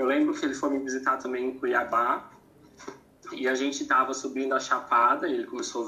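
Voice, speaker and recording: Noticeable noise fills the background. A man's speech runs at a fairly quick pace. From Santa Catarina, southern Brazil. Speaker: former teacher, naval engineer. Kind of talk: casual interview.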